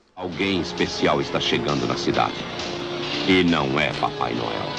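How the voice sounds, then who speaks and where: Loud music plays in the background. A man speaks over it at a fairly slow pace. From Brazil. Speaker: voice actor. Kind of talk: movie trailer. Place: booth. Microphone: studio mic.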